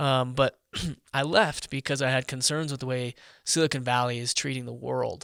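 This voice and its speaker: This man talks at a moderate pace with a medium pitch. His intonation is fairly even, and the recording is very clean with a silent background. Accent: American. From US Midwest, Omaha, Nebraska. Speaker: tech entrepreneur and data privacy advocate. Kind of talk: casual interview.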